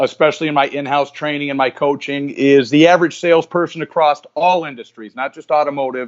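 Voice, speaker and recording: Racing at a very fast pace with hardly any pauses, a man speaks at a fairly high pitch with fairly even intonation and big swings in loudness. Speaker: sales trainer. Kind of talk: interview.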